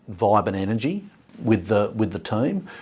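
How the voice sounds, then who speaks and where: The voice speaks with an Australian accent. The recording is very clean, with a silent background. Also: man. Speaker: business founder and executive chairman. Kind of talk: interview. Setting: office.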